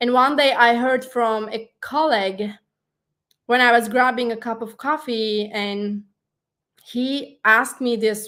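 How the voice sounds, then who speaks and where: A woman with a Turkish accent speaks at a fairly slow pace with fairly even intonation. Her pitch is fairly high and her tone bright and sharp. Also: very clean recording, silent background. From Turkey. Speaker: life coach and digital marketing consultant. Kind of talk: interview.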